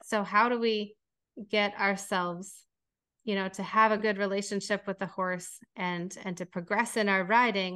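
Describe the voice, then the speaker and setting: Speaking with an American accent, a woman uses a bright, sharp tone and monotone, flat intonation. Her pace is moderate, and the background is quiet. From Minnesota. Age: 40s. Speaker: equine relationship coach. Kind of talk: interview.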